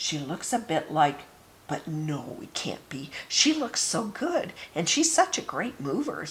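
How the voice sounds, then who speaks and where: A woman's put-on character voice, fairly low in pitch, fairly slow, with big swings in loudness. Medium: read story. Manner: snide.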